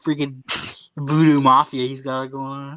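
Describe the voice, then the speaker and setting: A man speaks at a moderate pace in a flat monotone, on a very clean recording with a silent background. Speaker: live stream co-host.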